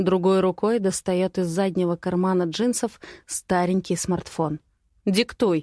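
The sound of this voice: The reading voice is unforced, with fairly even intonation.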